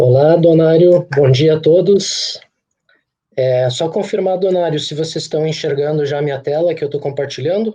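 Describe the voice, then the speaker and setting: This man speaks at a moderate pace with a southern Brazilian accent. His pitch is fairly high, and his intonation stays fairly even. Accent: gaúcho. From Rio Grande do Sul, Brazil (Santa Rosa, northwest). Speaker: agricultural machinery company executive. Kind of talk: webinar presentation.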